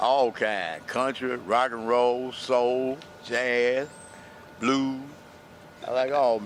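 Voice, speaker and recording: Against noticeable background noise, a man with a Southern US accent speaks at a very slow pace, leaving long, frequent pauses. His pitch is medium and his intonation fairly even. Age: 70s. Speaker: unhoused interviewee. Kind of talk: interview.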